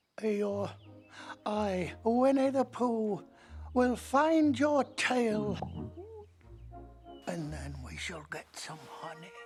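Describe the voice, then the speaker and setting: Over clear music in the background, a cartoonish character voice drags along at a very slow pace with long, frequent pauses. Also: female-sounding voice, medium pitch for a woman. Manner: gentle, slow, polite.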